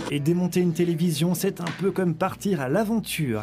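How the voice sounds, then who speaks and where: A man's fairly high voice over music in the background. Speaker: voice-over artist. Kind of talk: TV program voice-over narration.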